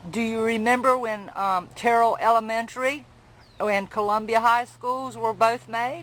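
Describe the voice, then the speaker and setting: This woman has a plain, everyday voice with a fairly high pitch. She talks at a fairly slow pace with fairly even intonation. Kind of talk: interview questions.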